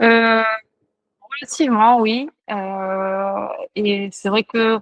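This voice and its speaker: A woman speaks with a fairly high pitch. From Mauritius. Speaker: trail runner, elite athlete. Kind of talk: interview answer.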